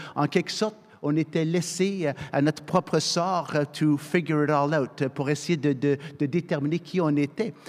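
An ordinary speaking voice from a man, fairly high in pitch, at a fairly slow pace with fairly even intonation and very even loudness. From Canada, military family moving yearly. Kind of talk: panel discussion.

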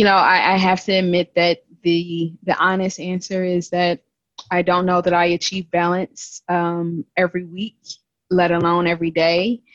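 Her voice fairly low in pitch, a woman speaks with monotone, flat intonation in a dry, close sound with no echo. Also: moderate pace. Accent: American. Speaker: regional sales business lead. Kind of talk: casual chat.

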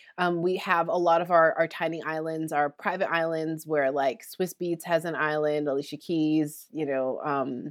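Delivered at a moderate pace with hardly any pauses, the speech has monotone, flat intonation on a very clean recording with a silent background. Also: woman, very deep, low pitch for a woman. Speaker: motivational speaker and entrepreneur. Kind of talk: interview.

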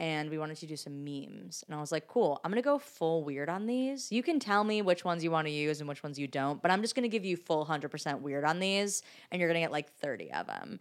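Talking at a very fast pace with hardly any pauses, a woman with an American accent keeps her intonation lively. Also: fairly low pitch for a woman. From Michigan, US. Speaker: writer-performer. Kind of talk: casual chat.

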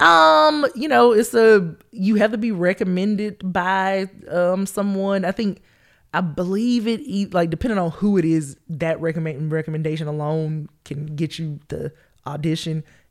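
With lively intonation and a Southern US accent, a woman with a fairly low pitch speaks in a very clean recording over a silent background. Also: moderate pace. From Georgia, US South. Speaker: comedian. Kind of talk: casual interview chat.

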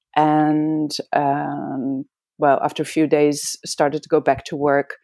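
In a Dutch accent, a woman speaks at a fairly slow pace with a very deep, low pitch and a dark, mellow tone, the sound dry and close with no echo on a very clean recording with a silent background. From Amsterdam, Netherlands. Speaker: veterinarian and acupuncturist. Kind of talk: interview conversation. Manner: halting, with many fillers.

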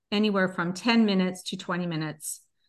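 A woman has an unremarkable speaking voice, medium in pitch with ordinary pitch variation. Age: 50s. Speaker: wellness coach. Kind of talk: interview conversation.

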